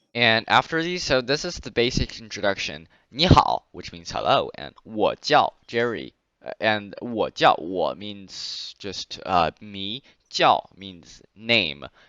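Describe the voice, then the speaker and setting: With a Chinese accent, a man speaks at a very slow pace, his loudness swinging a lot. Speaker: Chinese language teacher. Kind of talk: online language class.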